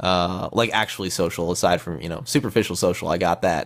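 A man with a Midwestern accent and very deep, low pitch speaks at a fairly quick pace with ordinary pitch variation. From Midwestern US. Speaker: podcast participant. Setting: online voice chat. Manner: casual, rambling.

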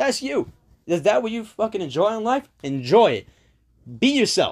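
A man with a high voice and very wide pitch swings talks at a fairly quick pace in a dry, close sound with no echo and a very clean recording over a silent background. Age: 20s. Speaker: podcast host. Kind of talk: casual monologue. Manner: casual, hesitant with fillers.

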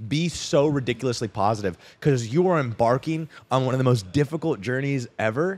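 A man's unremarkable speaking voice at a medium pitch, with an American accent, lively intonation and a fairly quick pace. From Arizona (Scottsdale), US. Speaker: freelance copywriter and coach. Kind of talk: casual chat. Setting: cigar lounge.

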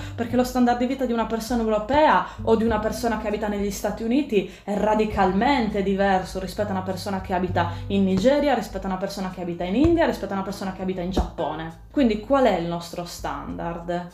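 A woman with a Sardinian accent talks very fast with hardly any pauses. Noticeable background noise and audible room echo come through. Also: medium pitch for a woman, ordinary pitch variation. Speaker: sustainability blogger. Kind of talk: interview.

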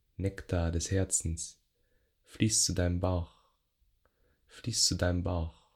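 The tone is gentle and calm, at a very slow pace. The recording is very clean with a silent background. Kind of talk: guided meditation (yoga nidra). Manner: slow, soft, gentle, calm, with long pauses.

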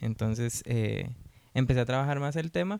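A man talks at a fairly quick pace in a medium pitch. It is a normal speaking voice. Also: dry, close sound with no echo. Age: 20s. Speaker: sociologist working for an HIV-focused NGO. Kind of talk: casual podcast interview.

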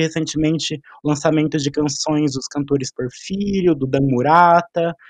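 The delivery moves at a moderate pace with fairly even intonation, in a dry, close sound with no echo. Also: man, hardly any pauses. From Cambé, Paraná, Brazil. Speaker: reporter, journalism student. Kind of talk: casual discussion.

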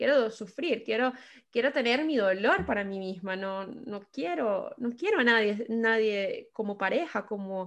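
Lively intonation comes through in a Venezuelan accent against a quiet background. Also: woman. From Venezuela, Caracas. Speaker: podcast guest sharing life story. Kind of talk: personal testimony in casual interview. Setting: remote call.

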